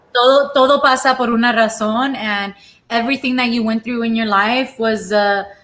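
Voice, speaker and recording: In a Spanish accent, a woman speaks at a moderate pace with a fairly high pitch and fairly even intonation. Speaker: live-stream cooking show host. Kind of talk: casual chat. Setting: live stream.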